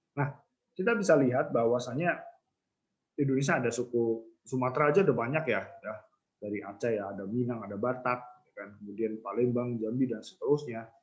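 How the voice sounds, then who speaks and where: Here a man uses a normal speaking voice. His medium pitch shows ordinary variation. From Central Java, Banyumasan (ngapak) area. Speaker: university lecturer. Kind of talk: lecture. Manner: casual conversational, many fillers.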